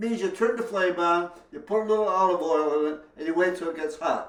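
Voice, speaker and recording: A man with a high voice talks at a moderate pace, his pitch moving in an ordinary way. Background noise is noticeable, and the room echo is audible. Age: 80s+. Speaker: home cook. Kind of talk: tutorial.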